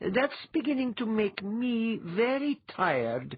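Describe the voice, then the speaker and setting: A woman in a put-on character voice, fairly high in pitch and at a fairly slow pace. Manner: unfriendly, weary.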